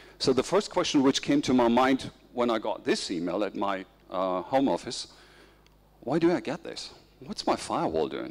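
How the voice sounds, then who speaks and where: A man with a German accent speaks at a medium pitch and a moderate pace. His voice has vocal fry and very wide pitch swings. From Germany. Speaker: information security expert. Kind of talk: conference presentation. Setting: conference stage with audience.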